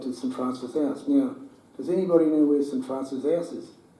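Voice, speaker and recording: A man at a very fast pace with fairly even intonation and audible room echo. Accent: Australian. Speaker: retired footballer. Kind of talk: talk to audience, interview. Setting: room with audience.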